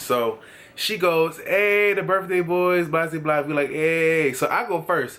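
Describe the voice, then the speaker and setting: A man speaks at a fairly slow pace in a high, bright, sharp voice with an animated tone. His pitch varies in an ordinary way. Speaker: vlogger. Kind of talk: story time.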